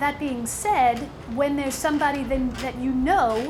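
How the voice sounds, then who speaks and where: Amid noticeable background noise and audible room echo, a high-pitched woman with an American accent talks at a fairly slow pace with ordinary pitch variation. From New York. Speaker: motivational speaker. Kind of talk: seminar talk. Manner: animated.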